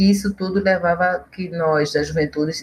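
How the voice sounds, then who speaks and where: With a bright, sharp tone, a woman talks in fairly even intonation. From Pernambuco, Brazil (Olinda). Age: 50s. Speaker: historian and professor. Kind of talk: interview.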